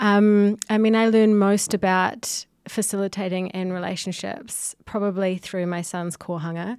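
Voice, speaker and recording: On a very clean recording with a silent background, a woman in a New Zealand accent speaks at a fairly slow pace and medium pitch, with hardly any pauses and a monotone, flat intonation. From New Zealand, Whanganui. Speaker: visual artist and gallery co-director. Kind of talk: casual chat. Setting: studio.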